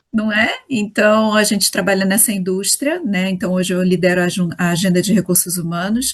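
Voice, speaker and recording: With a Rio de Janeiro accent, a woman speaks in a somewhat breathy voice at a medium pitch and a moderate pace, her intonation fairly even and her speech showing hardly any pauses. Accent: carioca. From Rio de Janeiro, Brazil. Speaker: HR executive. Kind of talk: interview.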